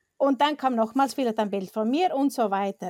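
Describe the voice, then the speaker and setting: A woman with an Icelandic accent speaks at a high pitch with lively intonation. The recording is very clean, the background silent. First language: Icelandic (speaking German). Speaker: professional photographer. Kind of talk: casual interview.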